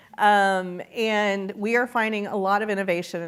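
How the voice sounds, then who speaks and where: A woman with a Texan accent speaks at a medium pitch on a very clean recording with a silent background. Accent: Texan accent, still noticeable. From small-town Texas. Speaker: entrepreneurship executive, lecture guest. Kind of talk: interview on stage. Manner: animated.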